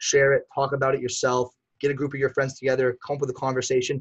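A man with an American accent talks very fast in a somewhat breathy voice at a medium pitch. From Massachusetts, US. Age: 20s. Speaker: podcast host. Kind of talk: casual chat. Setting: video call.

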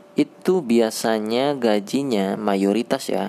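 A man speaks over noticeable background noise. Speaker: podcast host, programmer. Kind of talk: casual monologue. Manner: halting, many fillers.

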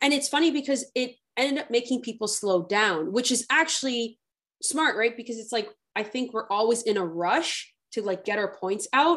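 Speaking at a moderate pace, a woman with an unremarkable speaking voice uses a fairly high pitch and lively intonation. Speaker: podcast host. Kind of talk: interview conversation.

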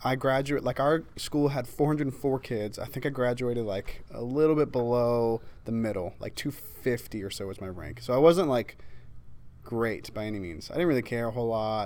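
A normal speaking voice, a man at medium pitch and moderate pace with ordinary pitch variation. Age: young. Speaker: podcast host. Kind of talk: casual interview chat.

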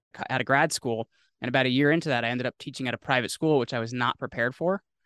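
Over a quiet background, a man with an American accent rattles along at a very fast pace, his sound dry and close with no echo. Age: 30s. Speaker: podcast host and entrepreneur. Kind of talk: casual interview chat. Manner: halting, many fillers.

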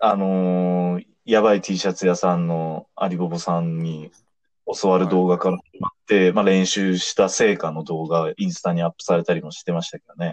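Very deep and low in pitch, this man talks at a moderate pace with monotone, flat intonation and big swings in loudness. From Tokyo. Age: 30s. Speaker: idol fan podcaster. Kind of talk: casual chat.

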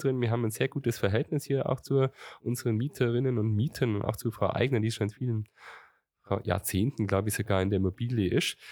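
A man's dark, mellow voice at medium pitch, very fast and with ordinary pitch variation, dry and close with no echo on a very clean recording with a silent background. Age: 40s. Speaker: mayor. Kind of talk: interview. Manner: halting.

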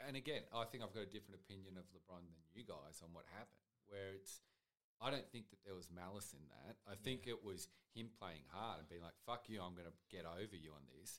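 Talking very fast with an Australian accent, a man with a very deep, low pitch shows ordinary pitch variation and big swings in loudness. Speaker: podcast producer. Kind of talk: casual chat. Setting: studio.

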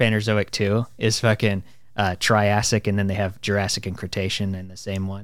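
Speaking at a moderate pace, a man has a normal speaking voice with a fairly low pitch, caught in a very clean recording with a silent background. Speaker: podcast host. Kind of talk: casual chat.

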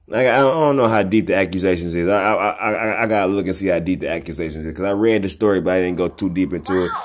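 Animated and at a very fast pace, a man talks at a very deep, low pitch with ordinary pitch variation and hardly any pauses. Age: 20s. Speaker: hip hop podcaster and rapper. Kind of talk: casual solo commentary. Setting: home.

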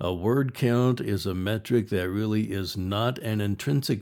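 Recorded very cleanly against a silent background, a man speaks fairly slowly in a fairly low pitch, his tone dark and mellow and his pitch variation ordinary. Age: 60s. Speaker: podcast host and writer. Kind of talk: solo podcast monologue. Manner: casual, conversational.

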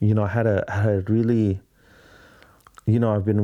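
With a dark, mellow tone, a man speaks at a fairly low pitch with fairly even intonation. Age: 30s. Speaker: podcast host and videographer. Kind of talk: solo casual monologue. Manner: rambling, halting.

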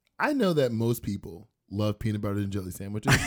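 Noticeable background noise sits behind a man's voice. He talks at a fairly quick pace in an animated tone. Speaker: podcast host. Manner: animated storyteller.

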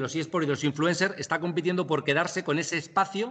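A man talks in an ordinary speaking voice at a fairly high pitch. His pace is fairly quick, with ordinary pitch variation. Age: 30s. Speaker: digital media and eSports expert. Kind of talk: interview.

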